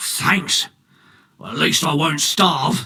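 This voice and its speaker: Putting on a character voice, a man sounds raspy and rumbling at a fairly high pitch. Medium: video game. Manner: coarse, grumbling.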